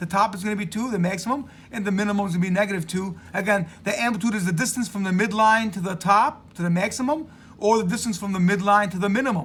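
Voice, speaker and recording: A man's high-pitched voice at a very fast pace, with ordinary pitch variation and audible room echo. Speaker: math teacher. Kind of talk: lecture.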